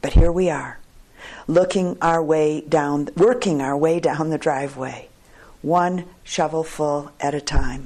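Speaking at a fairly slow pace, a woman has a gentle, dark and mellow tone and a very deep, low pitch. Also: ordinary pitch variation. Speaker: retreat teacher reading poetry. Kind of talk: poetry reading aloud, unhurried and contemplative, with a retreat-talk intro. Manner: slow, measured, gentle and reflective; halting now and then, with small pauses and fillers.

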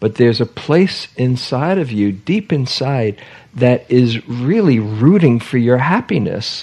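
At a fairly slow pace, a man in a normal speaking voice talks with lively intonation at medium pitch. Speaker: meditation teacher. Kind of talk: retreat group discussion.

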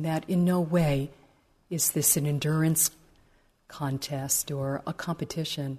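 A woman speaks with a very deep, low pitch and a dark, mellow tone. Her delivery is gentle and calm, and somewhat breathy. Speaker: meditation teacher. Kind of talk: guided meditation. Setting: meditation retreat hall. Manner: slow, gentle, calm; soft-spoken, unhurried.

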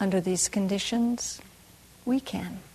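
A woman with a fairly high, somewhat breathy voice and a warm tone speaks fairly slowly with fairly even intonation. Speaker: meditation teacher. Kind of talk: guided meditation. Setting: retreat hall with group. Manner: slow, soft, calm and soothing, with long pauses; warm, gently laughing.

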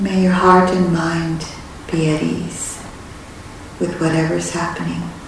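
With long, frequent pauses, a woman speaks in a calm tone at a fairly slow pace, her fairly low voice monotone and flat against noticeable background noise. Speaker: meditation teacher. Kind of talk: guided meditation. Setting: retreat center meditation hall. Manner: slow, soft-spoken and calm, with long pauses; gentle, warm and reassuring.

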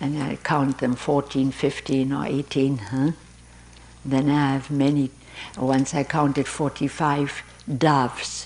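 A woman speaks in a very deep, low pitch. Her intonation is monotone and flat. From Europe. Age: 80s+. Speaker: meditation teacher. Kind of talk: dharma talk. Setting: meditation hall with audience.

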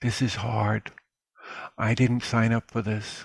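The recording of this man sounds dry and close, with no echo. His voice sits at a medium pitch and is somewhat breathy. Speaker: meditation teacher. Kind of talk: dharma talk and Q&A. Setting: live webinar.

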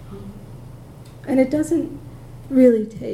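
Audible room echo surrounds a woman who speaks at a very slow pace with lively intonation. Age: 60s. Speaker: meditation teacher. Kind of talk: dharma talk. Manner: halting.

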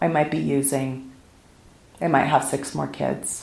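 With an American accent, a woman speaks at a very deep, low pitch with vocal fry and very wide pitch swings, and audible room echo surrounds her. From US West Coast, South Pasadena, California. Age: 50s. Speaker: meditation teacher. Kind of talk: dharma talk. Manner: casual and conversational.

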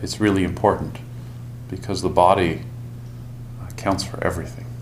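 Over noticeable background noise, a man with a fairly low pitch speaks with very wide pitch swings. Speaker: meditation teacher. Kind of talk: guided meditation. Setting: silent retreat in meditation hall. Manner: slow, calm, soft-spoken; gentle, deliberate, pausing often.

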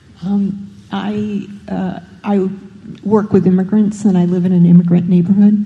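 A woman's medium-pitched, monotone, flat voice at a moderate pace with long, frequent pauses, over noticeable background noise. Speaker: meditation participant. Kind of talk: personal sharing. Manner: halting.

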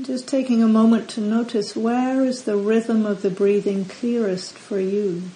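Pitched fairly high, a woman's unremarkable speaking voice keeps fairly even intonation. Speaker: meditation teacher. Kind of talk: guided meditation. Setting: retreat center. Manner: slow, calm, soft-spoken; gentle, long pauses between instructions.

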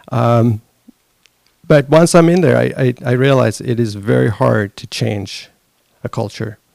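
A man with a Swedish accent at a fairly slow pace, with long, frequent pauses, in a dry, close sound with no echo. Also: medium pitch for a man, ordinary pitch variation. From Sweden. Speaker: conference attendee. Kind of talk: casual talk.

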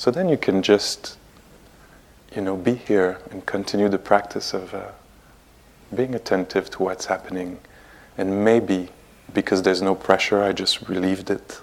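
A man's fairly low voice in a French accent, monotone and flat, with long, frequent pauses. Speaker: meditation teacher. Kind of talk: guided meditation. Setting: meditation hall at retreat center. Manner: slow, soft, calm, with long pauses; gentle, unhurried, warm.

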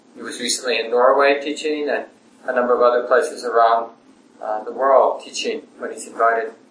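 This man speaks at a moderate pace, with noticeable background noise present. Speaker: meditation center host introducing the teacher. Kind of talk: welcome and introduction.

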